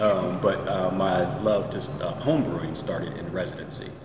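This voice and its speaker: Noticeable background noise surrounds a man talking at a moderate pace. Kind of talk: interview answer. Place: bar. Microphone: camera far.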